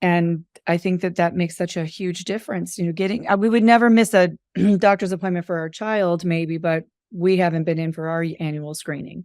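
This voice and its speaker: A woman speaks in a normal speaking voice at a fairly quick pace, her fairly low pitch held in fairly even intonation. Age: 50s. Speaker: podcast host. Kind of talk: podcast interview.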